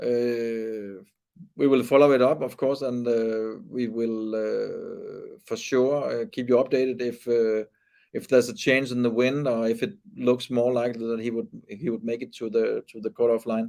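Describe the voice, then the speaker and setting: With a Danish accent, a man of medium pitch speaks at a moderate pace in a dark, mellow tone, his intonation monotone and flat. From Denmark. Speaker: sailing race commentator. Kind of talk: live commentary. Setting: studio. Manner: halting.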